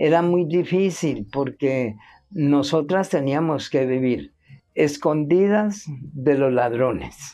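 Over a quiet background, a woman with a very deep, low pitch talks at a very slow pace, her dark, mellow tone carrying lively intonation. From Colombia, Cali. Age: 70s. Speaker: interviewee. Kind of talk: testimony. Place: garden.

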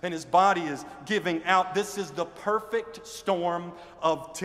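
The voice reads without strain. It is an unforced reading voice.

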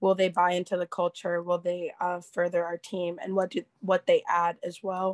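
Against a quiet background, a woman speaks at a moderate pace with hardly any pauses. Her voice is fairly low and flat, in a monotone. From Philadelphia. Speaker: college rower; panelist. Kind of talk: panel discussion on video call. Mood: reflective, earnest. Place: home room. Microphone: video call.

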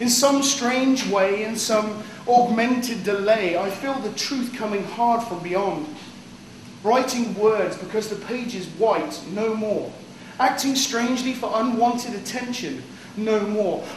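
Amid audible room echo and light background noise, a man speaks high in pitch at a fairly slow pace with fairly even intonation. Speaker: poet. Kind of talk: poem performance; casual banter. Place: cafe.

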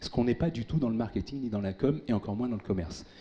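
Over light background noise, a man with a dark, mellow tone talks at a very fast pace. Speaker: tech speaker, former big-tech employee; speaker. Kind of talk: conference keynote. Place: hall. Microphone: handheld.

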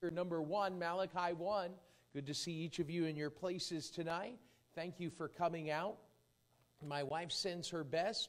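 Delivered at a moderate pace, the voice keeps a fairly even intonation. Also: man, high pitch for a man. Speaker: visiting preacher. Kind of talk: sermon. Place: church.

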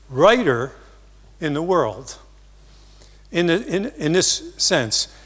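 Speaking very slowly, a man with an American accent has a high pitch. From US, New Jersey. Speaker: marketing seminar speaker; speaker. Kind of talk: seminar talk. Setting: stage with audience. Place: stage. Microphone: lapel.

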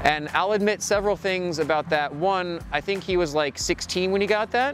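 Faint music plays in the background while a man talks at a moderate pace. The sound is dry with no echo, and his pitch varies an ordinary amount. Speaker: cyclist vlogger. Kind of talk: casual vlog chat. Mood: playful, joking. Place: street.

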